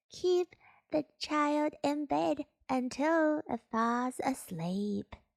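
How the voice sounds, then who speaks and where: Putting on a character voice, a woman speaks very slowly in a squeaky, high pitch. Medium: read story. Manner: eager, excitable.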